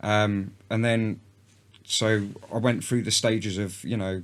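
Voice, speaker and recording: A man with a London accent speaks with fairly even intonation. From North London, England. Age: 30s. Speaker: country musician. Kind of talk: casual chat.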